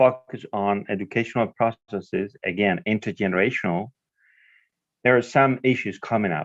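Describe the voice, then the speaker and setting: A man with a Spanish accent speaks at a moderate pace against a quiet background, in a dry, close sound with no echo. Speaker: professor. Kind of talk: live interpreting in a video conference.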